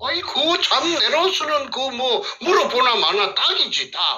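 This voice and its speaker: A man speaks with a Gyeongsang accent. Noticeable background noise runs beneath him. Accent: Gyeongsang dialect Korean. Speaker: whistleblower, former elementary school teacher. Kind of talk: testimony. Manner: halting, many fillers.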